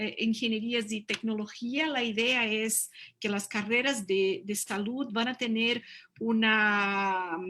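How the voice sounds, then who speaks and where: A woman speaks at a fairly slow pace in a bright, sharp tone with fairly high pitch. The recording is very clean, with a silent background. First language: Portuguese (speaking Spanish). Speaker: university representative. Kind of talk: conference presentation. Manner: halting, many fillers.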